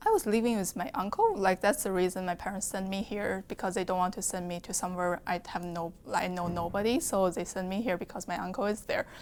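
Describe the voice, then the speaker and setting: With noticeable background noise, a woman speaks at a very fast pace and medium pitch, with fairly even intonation and hardly any pauses. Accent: Chinese. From China. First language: Chinese. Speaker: nursing student. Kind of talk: interview testimony.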